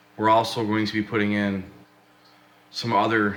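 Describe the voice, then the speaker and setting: A man speaks with a fairly low pitch and a flat, monotone delivery. There is audible echo in the room. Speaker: fish keeping hobbyist vlogger. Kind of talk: casual video update. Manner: casual, some filler words.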